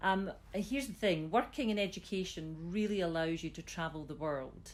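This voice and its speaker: With an ordinary amount of pitch movement, the speech proceeds at a moderate speed. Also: woman, medium pitch for a woman. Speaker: school system chief executive. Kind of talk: interview.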